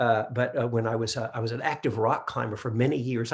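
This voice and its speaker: A man talks at a fairly quick pace. His voice carries vocal fry. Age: 60s. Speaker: meditation teacher. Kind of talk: dharma talk. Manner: halting.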